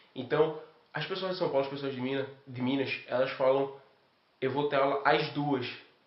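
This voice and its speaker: With audible room echo, a man talks in a fairly high pitch and a monotone, flat intonation, leaving long, frequent pauses. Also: moderate pace. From Brazil, Recife (Pernambuco). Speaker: exchange student. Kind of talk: interview testimony.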